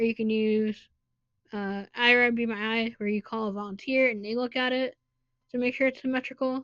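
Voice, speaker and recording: A woman's fairly high, fairly quick voice in monotone, flat intonation. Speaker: podcast co-host. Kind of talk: casual chat.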